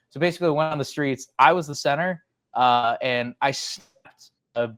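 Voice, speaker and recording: In an American accent, a man speaks at a moderate pace and fairly high pitch with ordinary pitch variation. The sound is dry and close, with no echo. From Chicago, south side. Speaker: sports media personality. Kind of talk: podcast interview. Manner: loud; animated.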